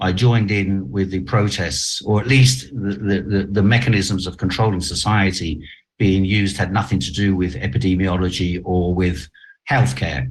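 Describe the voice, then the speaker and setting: A man's fairly low voice with vocal fry, ordinary pitch variation, and a fairly slow pace. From half Chinese, half German heritage. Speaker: journalist. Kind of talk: interview. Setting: video call.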